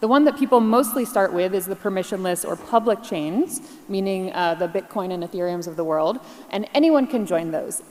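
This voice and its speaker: A woman with an American accent at medium pitch, lively intonation and a fairly quick pace, over noticeable background noise. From US Northeast, New York. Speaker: keynote speaker, blockchain partner at a tech firm. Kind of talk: conference keynote presentation. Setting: stage with audience. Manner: fast; animated.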